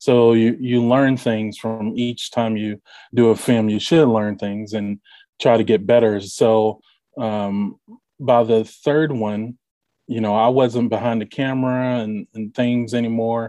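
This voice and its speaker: In a dark, mellow tone, a man talks at a fairly slow pace with a medium pitch and a monotone, flat delivery. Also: quiet background. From Kentucky, Bardstown. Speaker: independent filmmaker. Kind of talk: interview. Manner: hesitant, many fillers.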